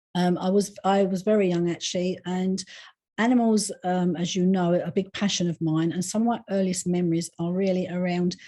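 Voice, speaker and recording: Over a quiet background, a woman talks at a fairly quick pace at a medium pitch, in a dark, mellow, monotone, flat delivery. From England, East London. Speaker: psychic medium and animal communicator. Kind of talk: interview. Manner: chatty.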